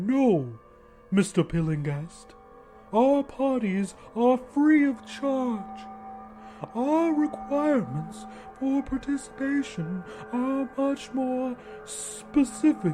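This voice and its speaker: A put-on character voice, fairly high in pitch, at a very slow pace over faint music in the background. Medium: read story. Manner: smug, composed, invasive.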